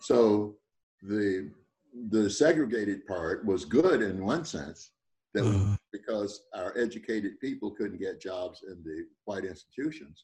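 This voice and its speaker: A man with an American accent speaks at a fairly slow pace in a fairly low, somewhat breathy voice, with lively intonation and big swings in loudness. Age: 80s+. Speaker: retired professor. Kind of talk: radio interview.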